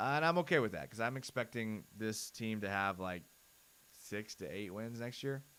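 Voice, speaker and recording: A man's fairly low, loud voice, energetic and bright with a sharp edge, lively intonation at a moderate pace. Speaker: sports channel host. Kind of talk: live stream film breakdown. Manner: casual, energetic.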